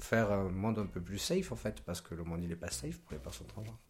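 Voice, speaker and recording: Very deep, low male speech with ordinary pitch variation. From Côte d'Ivoire. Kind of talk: casual chat.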